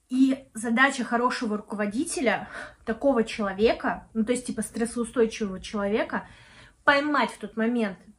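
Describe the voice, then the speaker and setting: A woman speaks at a moderate pace with a fairly high pitch and ordinary pitch variation. Her voice is somewhat breathy. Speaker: video blogger and project manager. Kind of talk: casual vlog monologue. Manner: casual with many fillers.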